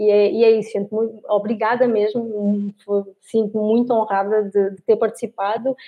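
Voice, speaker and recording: At a moderate pace, a woman speaks with a fairly high pitch in a monotone, flat intonation. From Portugal, Lisbon. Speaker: biologist and professor. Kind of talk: interview.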